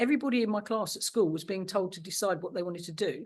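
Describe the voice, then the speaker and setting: A woman with an English accent talks at a very fast pace, her pitch in the medium range with ordinary variation. The background is quiet. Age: 60s. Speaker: recovering addict. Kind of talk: testimony.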